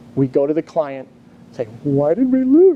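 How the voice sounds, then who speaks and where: With an American accent, a man speaks at a high pitch and a moderate pace over noticeable background noise. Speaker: engineer and business development trainer. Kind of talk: conference presentation. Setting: conference room with live audience.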